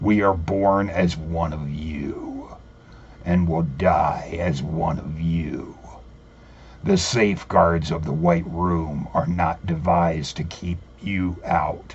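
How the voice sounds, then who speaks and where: Growling in a put-on character voice, a man speaks very slowly in a very deep, low pitch with fairly even intonation over light background noise. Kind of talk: dark occult storytelling. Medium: read story. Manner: measured, solemn, persuasive.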